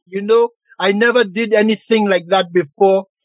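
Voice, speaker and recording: A man talks at a moderate pace in a dry, close sound with no echo. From St. Lucia. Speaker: singer. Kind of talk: casual interview. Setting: video call, home basement.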